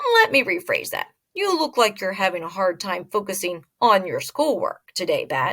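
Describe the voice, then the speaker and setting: A woman performs a put-on character voice at a fairly high pitch. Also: moderate pace. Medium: read story. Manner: calm, gently teasing.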